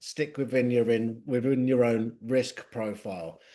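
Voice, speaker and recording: With an English accent, a man speaks at a fairly slow pace against a quiet background. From England, London. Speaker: tech company executive. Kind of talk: business presentation. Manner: slow and clear.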